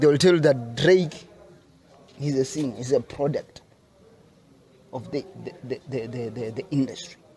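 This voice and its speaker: With a South African accent, a man speaks at a moderate pace and medium pitch, with ordinary pitch variation, big swings in loudness, and long, frequent pauses. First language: Sepedi. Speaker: rapper. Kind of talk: interview. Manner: halting, many repetitions.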